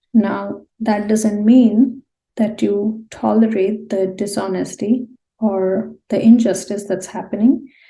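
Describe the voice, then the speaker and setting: Somewhat breathy, a woman speaks at a very slow pace with monotone, flat intonation. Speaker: tarot card reader. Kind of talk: pick-a-card tarot reading. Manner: subdued, low-energy; hesitant with fillers.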